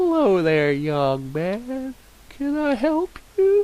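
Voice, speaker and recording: A man puts on a character voice at an extremely high pitch. He speaks very slowly, with very wide pitch swings. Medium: read story. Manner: gentle, polite.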